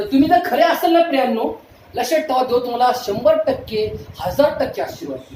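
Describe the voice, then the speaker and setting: There is noticeable background noise as a man speaks with an extremely high pitch. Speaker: pastor, preacher. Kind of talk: sermon, preaching to a congregation.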